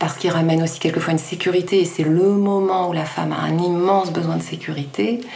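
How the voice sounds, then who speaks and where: Over noticeable background noise and audible room echo, a woman with a fairly low pitch talks at a very fast pace with hardly any pauses and ordinary pitch variation. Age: 40s. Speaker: midwife. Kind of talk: expert explanation in interview.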